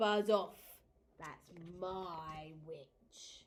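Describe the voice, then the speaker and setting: A woman puts on a character voice that is croaky and growling. Her pitch sits fairly low. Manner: threatening.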